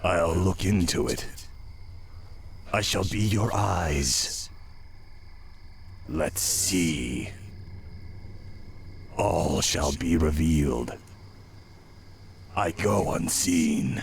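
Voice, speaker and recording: Using a raspy, put-on character voice with a very deep, low pitch, a man talks at a very slow pace with long, frequent pauses over clear background noise. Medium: video game. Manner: secretive.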